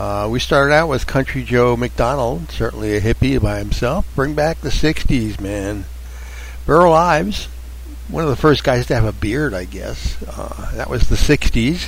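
Noticeable background noise sits behind a man who talks at a fairly slow pace in a relaxed tone. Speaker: radio host. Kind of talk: casual radio hosting, chatty show patter. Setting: radio studio. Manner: relaxed, rambling, hesitant with filler words.

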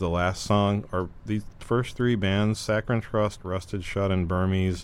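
A man's normal speaking voice, fairly low in pitch, at a fairly slow pace with fairly even intonation. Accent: American. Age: 40s. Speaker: musician and guest DJ. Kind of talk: casual chat.

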